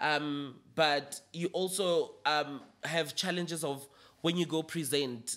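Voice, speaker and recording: This man's voice sits fairly high and his intonation stays fairly even. He speaks at a very slow pace. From South Africa, Limpopo. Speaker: makeup artist and PR strategist. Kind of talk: casual interview. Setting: studio.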